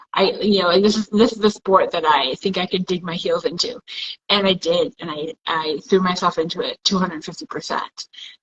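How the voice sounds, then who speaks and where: This woman has an unremarkable speaking voice, medium in pitch with ordinary variation, and she talks at a fairly quick pace. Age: 40s. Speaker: amateur boxer and coach. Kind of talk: casual chat.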